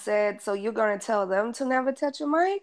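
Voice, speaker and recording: A woman speaks in an unremarkable speaking voice, fairly high in pitch, with ordinary pitch variation. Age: 30s. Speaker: hip-hop blogger. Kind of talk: casual chat.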